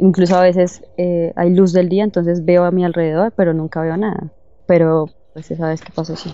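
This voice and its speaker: At a moderate pace, a woman with a fairly low pitch speaks in monotone, flat intonation with big swings in loudness. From Bogotá, Colombia. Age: 20s. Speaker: guest sharing paranormal experience. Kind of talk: testimony.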